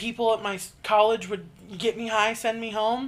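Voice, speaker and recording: Speaking rather slowly, a woman uses a voice pitched on the high side. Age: 20s. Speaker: podcast co-host. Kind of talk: casual chat.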